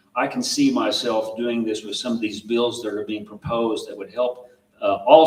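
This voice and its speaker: Noticeable background noise runs under a man's moderately paced speech. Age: 60s. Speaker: school board candidate. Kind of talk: candidate forum answers. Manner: halting.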